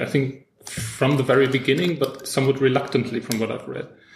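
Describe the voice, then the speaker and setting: With a German accent, a man talks at a very fast pace and fairly even intonation over noticeable background noise. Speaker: podcast host, film critic. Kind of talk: interview. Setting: in person in Frankfurt.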